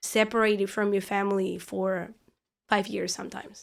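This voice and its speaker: Speaking with a Spanish accent at a fairly high pitch, a woman is heard in a very clean recording against a silent background. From Argentina. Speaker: parishioner and law student. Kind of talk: podcast interview.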